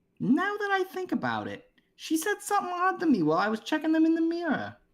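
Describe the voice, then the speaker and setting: The put-on character voice is squeaky and races along at a very fast pace. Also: man, extremely high pitch for a man. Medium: read story.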